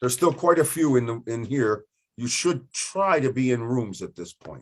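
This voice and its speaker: A man speaks with a normal speaking voice at a medium pitch and a moderate pace. His intonation is lively, and his loudness swings widely. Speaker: teacher trainer hosting webinar. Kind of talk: online workshop facilitation.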